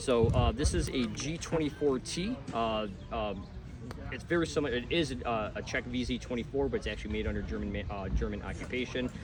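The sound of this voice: A man talks at a fairly quick pace and a medium pitch. His pitch varies in an ordinary way.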